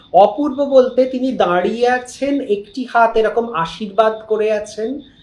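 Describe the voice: A man's extremely high-pitched voice, slightly mellow in tone, at a fairly slow pace amid audible room echo. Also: ordinary pitch variation.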